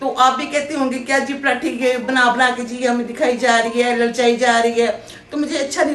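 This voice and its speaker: There is audible room echo along with noticeable background noise. Through it, a woman talks at a moderate speed. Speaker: cooking vlogger. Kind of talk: casual cooking vlog chat. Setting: home kitchen.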